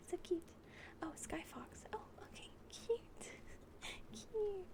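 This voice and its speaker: Someone whispers at a very slow pace. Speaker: VTuber ASMR streamer. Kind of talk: casual chat with stream viewers. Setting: livestream. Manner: animated.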